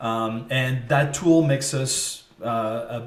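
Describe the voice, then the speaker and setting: A slight French accent, ordinary pitch variation, audible room echo and noticeable background noise. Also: man. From France, French Riviera. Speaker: marketing agency CEO. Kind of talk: interview. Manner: hesitant, many fillers.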